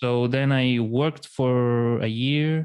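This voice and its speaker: A man's medium-pitched, monotone, flat delivery in a Spanish accent, at a very slow pace, with a dry, close sound, no echo and a quiet background. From Chile, La Serena. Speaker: writer and podcast host. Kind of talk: casual interview chat. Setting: podcast recording. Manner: halting.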